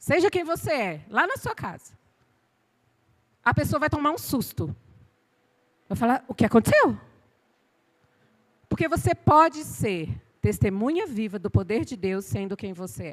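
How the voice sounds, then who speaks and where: Pausing long and often, a woman speaks at a fairly slow pace in an animated tone, with big swings in loudness. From Bahia, Brazil. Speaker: pastor. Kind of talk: sermon. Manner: animated, sometimes shouting.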